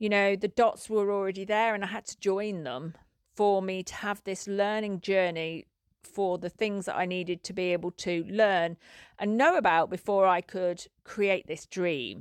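A woman with a plain, everyday voice and fairly even intonation, recorded dry and close with no echo against a quiet background. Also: medium pitch for a woman, moderate pace. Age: 50s. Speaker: podcast host and equine facilitated learning coach. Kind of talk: personal storytelling monologue. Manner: repetitive, with frequent false starts.

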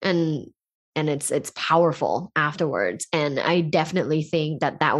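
A woman speaks at a very deep, low pitch. The background is quiet. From Thailand. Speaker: sex educator with a communication PhD. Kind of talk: casual interview chat.

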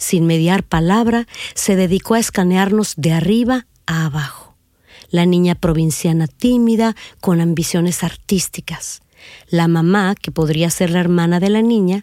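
A woman with a dark, mellow tone speaks fairly slowly at a fairly low pitch with ordinary variation, the recording very clean, silent in the background, and dry and close with no echo. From northern Mexico, Reynosa, Tamaulipas. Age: 50s. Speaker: podcast host and narrator telling her own story. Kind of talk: scripted narration.

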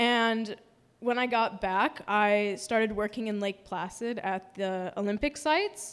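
On a very clean recording with a silent background, a woman with an unremarkable speaking voice talks fairly slowly at a fairly high pitch, her intonation fairly even. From US Midwest, Milwaukee, Wisconsin. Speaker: storyteller. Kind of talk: live storytelling performance.

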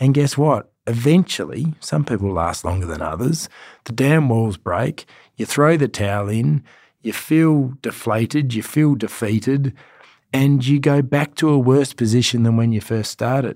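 With an Australian accent, a man speaks with lively intonation. The recording is very clean with a silent background, dry and close with no echo. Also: medium pitch for a man, moderate pace. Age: 40s. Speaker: fitness trainer and podcast host. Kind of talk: motivational monologue.

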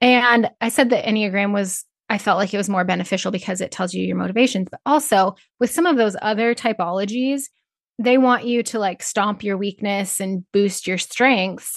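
Over a quiet background, a speaker with an American accent uses an unremarkable speaking voice at a moderate pace, with ordinary pitch variation and a dry, close sound with no echo. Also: woman, medium pitch for a woman. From Northeast Nebraska. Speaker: rancher and Enneagram coach. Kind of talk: interview.

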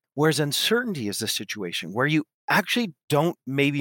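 A man with an American accent talks at a fairly quick pace and medium pitch, his pitch swinging very widely in a dry, close sound with no echo. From US West Coast. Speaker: business school professor and author. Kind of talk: interview.

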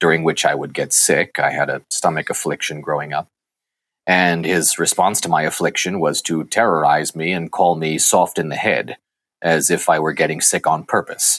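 Recorded very clean with a silent background and a dry, close sound with no echo, a man speaks at a moderate pace. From Massachusetts, US. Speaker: actor. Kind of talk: interview.

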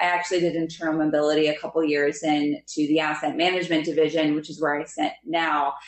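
Very fast speech in an American accent with hardly any pauses, very even loudness and monotone, flat intonation, over noticeable background noise. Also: woman, very deep, low pitch for a woman. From Pennsylvania, near Philadelphia. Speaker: investment specialist. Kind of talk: interview.

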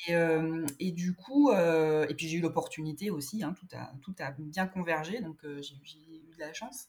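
A woman speaks very slowly in a fairly low voice, her loudness rising and falling sharply. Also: ordinary pitch variation. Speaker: illustrator. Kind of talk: casual interview chat. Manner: hesitant, many fillers.

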